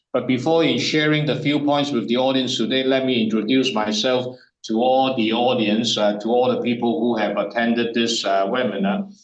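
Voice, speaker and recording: With audible room echo, a man speaks at medium pitch and a moderate pace, using ordinary pitch variation. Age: 60s. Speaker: business consultant. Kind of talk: webinar presentation. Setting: online webinar. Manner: halting.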